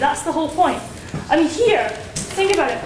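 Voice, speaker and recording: The speech comes at a very fast pace in a Dundee accent, with ordinary pitch variation. Noticeable background noise runs underneath. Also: woman. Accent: Dundee Scottish. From Scotland, Dundee. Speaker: student debater. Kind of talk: debate speech. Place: hall. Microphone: camera far.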